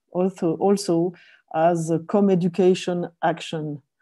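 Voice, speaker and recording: A woman talks in a French accent. Her tone is dark and mellow. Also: quiet background. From French-speaking Switzerland. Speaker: professor. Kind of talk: conference presentation. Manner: halting, many fillers.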